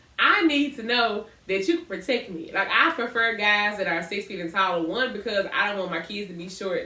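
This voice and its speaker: There is noticeable background noise and audible room echo. A woman talks at medium pitch in an animated tone. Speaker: podcast co-host. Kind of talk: casual chat. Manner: loud.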